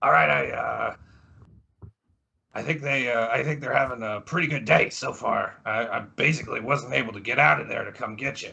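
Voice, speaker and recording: A man puts on a raspy character voice at a medium pitch. He talks at a moderate pace, his loudness swinging widely. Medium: actual play. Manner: casual, matey.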